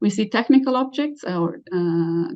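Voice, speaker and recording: Her intonation is lively, and the woman's pitch is medium. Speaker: professor, keynote speaker. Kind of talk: lecture. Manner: fast; halting, many fillers.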